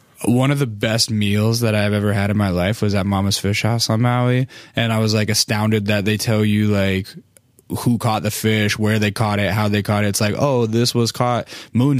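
At a moderate pace, a man with a fairly low pitch talks in a flat, monotone way. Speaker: podcast host. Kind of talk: casual chat; podcast intro monologue. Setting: studio. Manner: relaxed.

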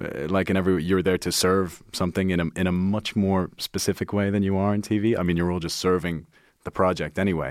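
The speech runs very fast in a flat monotone, on a very clean recording with a silent background. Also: man, very deep, low pitch for a man. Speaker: actor and writer. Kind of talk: casual chat. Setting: studio. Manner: laughs often, casual.

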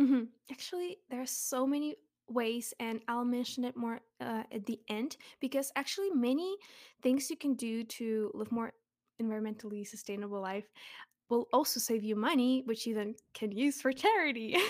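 Recorded very cleanly against a silent background, a woman with a Russian accent speaks in a high pitch with ordinary pitch variation. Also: moderate pace. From Russia (Zelenograd, near Moscow). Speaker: charity advocate. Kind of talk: casual interview.

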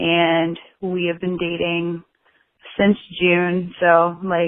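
A woman's fairly low voice with monotone, flat intonation. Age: 20s. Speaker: caller. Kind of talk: voice message.

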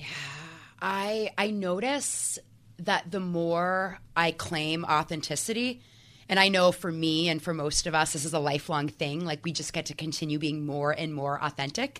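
A woman's normal speaking voice at a fairly low pitch, with ordinary pitch variation and a moderate pace, on a very clean recording with a silent background. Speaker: mindset coach. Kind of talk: casual interview.

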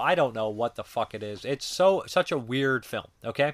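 A man with an unremarkable speaking voice, fairly high pitch and lively intonation at a moderate pace, on a very clean recording with a silent background. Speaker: film reviewer. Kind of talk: casual review monologue. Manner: casual with frequent fillers.

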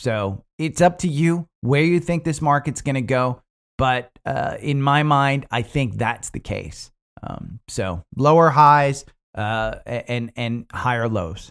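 Very slow delivery with ordinary pitch variation, in a very clean recording against a silent background. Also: man, fairly high pitch for a man. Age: 50s. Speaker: stock market YouTuber. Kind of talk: market analysis livestream. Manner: halting, many fillers and restarts; casual.

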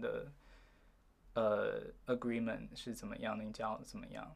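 A man speaks with a slight Taiwanese accent. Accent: slight Taiwanese feel in his Mandarin. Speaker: university student. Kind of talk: interview.

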